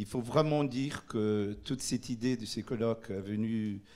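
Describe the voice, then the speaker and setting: A man with a Portuguese accent talks very slowly at a fairly low pitch, keeping his intonation fairly even. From Brazil. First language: Portuguese (speaking French). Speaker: urban policy official. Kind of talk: conference presentation. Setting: conference in Paris. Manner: halting, many hesitations.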